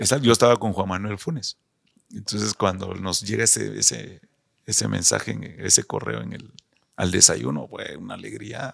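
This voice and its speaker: A man speaks with a Guatemalan accent. His loudness rises and falls sharply. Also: moderate pace. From Guatemala City, zona 6. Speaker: retired footballer. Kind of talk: interview.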